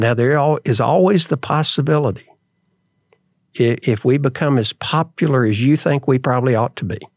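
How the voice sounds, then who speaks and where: On a very clean recording with a silent background, a man with a Southern US accent speaks at a medium pitch and moderate pace with ordinary pitch variation. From US South (Atlanta and Memphis). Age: 70s. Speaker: restaurant chain chairman. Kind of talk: interview.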